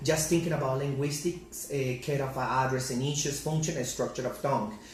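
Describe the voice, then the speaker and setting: Against audible room echo and noticeable background noise, a man with a fairly high pitch talks at a fairly quick pace with fairly even intonation. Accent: Spanish. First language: Spanish. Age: 30s. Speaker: English teacher. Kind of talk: class presentation. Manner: halting.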